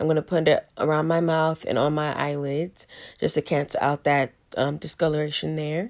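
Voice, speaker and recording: Quiet and monotone, a woman speaks with flat intonation in a very deep, low pitch at a moderate pace. The recording is very clean against a silent background. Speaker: beauty vlogger. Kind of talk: voice-over makeup tutorial. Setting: home with ring light.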